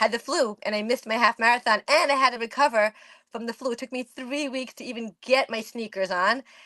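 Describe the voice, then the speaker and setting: Animated and fairly quick, a woman speaks at a high pitch with ordinary variation, her tone bright and sharp, the sound dry and close with no echo over a quiet background. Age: 50s. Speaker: amateur runner. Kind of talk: podcast interview.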